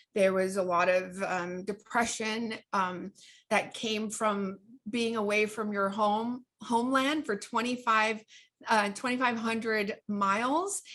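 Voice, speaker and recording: A woman with a slight Southern California accent at a very slow pace, fairly even intonation, and a quiet background. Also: fairly high pitch for a woman. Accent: slight Valley girl. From Orange County, California. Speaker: author and life coach. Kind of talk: interview. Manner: halting.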